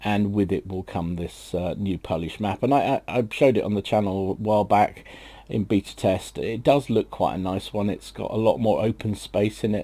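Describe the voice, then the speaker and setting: A man with a British accent, fairly low in pitch, dark and mellow in tone, at a moderate pace. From Britain. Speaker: gaming YouTuber. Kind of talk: casual gaming news commentary. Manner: hesitant, many fillers.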